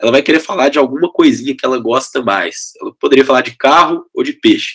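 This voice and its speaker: A man with a mineiro accent, at a fairly quick pace. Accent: mineiro (Minas Gerais), still noticeable. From Brazil, Belo Horizonte (Minas Gerais). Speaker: education company CEO. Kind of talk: interview conversation. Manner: energetic, enthusiastic.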